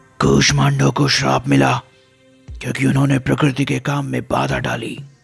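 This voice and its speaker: Using a put-on character voice, a man speaks raspy and very deep at a fairly slow pace. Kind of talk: mythological storytelling. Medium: read story. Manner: calm, measured, dignified.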